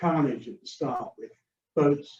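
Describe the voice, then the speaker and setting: A man's dark, mellow tone, somewhat breathy, with fairly even intonation at a moderate pace. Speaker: sailing judge and racing rules instructor. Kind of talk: training webinar lecture. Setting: hybrid Zoom webinar with a live room audience.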